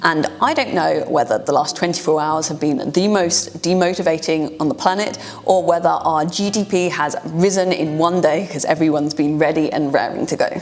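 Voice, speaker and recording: A woman with a British accent speaks in a fairly low voice with hardly any pauses, over noticeable background noise. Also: ordinary pitch variation, moderate pace. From UK. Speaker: data science educator. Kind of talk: tutorial; casual storytelling.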